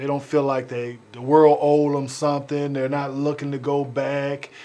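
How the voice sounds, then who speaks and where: Fairly high-pitched man with a flat, monotone delivery, an American accent and a moderate pace, against noticeable background noise. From Richmond, California. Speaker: talk show host. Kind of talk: interview.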